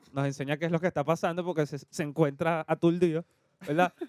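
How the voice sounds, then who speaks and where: A man with a high pitch, talking at a fairly quick pace. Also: dry, close sound with no echo. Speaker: podcast co-host. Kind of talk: casual chat.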